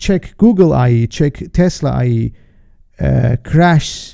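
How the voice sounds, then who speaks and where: A man's dark, mellow voice with a non-native accent, fairly high in pitch, at a very slow pace. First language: not English. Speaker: trader and market analyst hosting a webinar. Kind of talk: live webinar presentation. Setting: live stream. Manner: halting, with many fillers and restarts.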